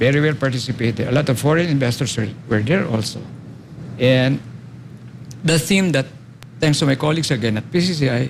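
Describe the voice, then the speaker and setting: Speaking at a medium pitch with very even loudness, a somewhat breathy man leaves long, frequent pauses. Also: ordinary pitch variation, fairly quick pace. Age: 70s. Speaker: architect and urban planner. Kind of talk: interview.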